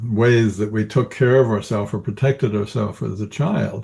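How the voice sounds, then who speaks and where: Speaking in an American accent, a man has a fairly low pitch and a dark, mellow tone. The background is quiet. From US Northwest. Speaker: executive coach, Marine veteran. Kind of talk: interview.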